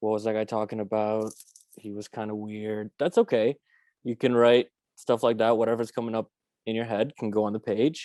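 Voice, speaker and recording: A voice with a Romanian accent speaks in monotone, flat intonation. The sound is dry and close with no echo, over a quiet background. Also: man, medium pitch for a man, moderate pace. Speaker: workshop facilitator. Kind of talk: guided writing exercise instructions. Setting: video call. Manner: casual.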